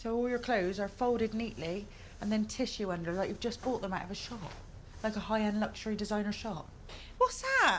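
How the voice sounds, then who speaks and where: At a fairly quick pace, a woman with a plain, everyday voice speaks with fairly even intonation and a fairly high pitch. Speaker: travel TV presenter. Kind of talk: on-location casual chat.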